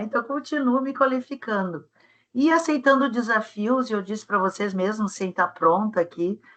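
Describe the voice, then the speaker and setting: Speaking at a moderate pace, a woman with a fairly high pitch has a bright, sharp tone and lively intonation. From southern Brazil, Rio Grande do Sul. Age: 60s. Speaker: webinar speaker on career development. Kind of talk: webinar talk.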